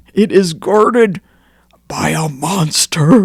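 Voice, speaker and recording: A put-on character voice, raspy and pitched in the middle range. It moves at a fairly slow pace. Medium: read story. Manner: blustery then cowed.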